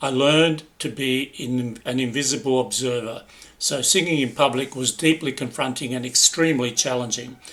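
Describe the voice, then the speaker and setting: Speaking at a moderate pace, a man with an Australian accent uses a medium pitch. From Italy, raised in Australia. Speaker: personal development speaker. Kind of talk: personal storytelling narration.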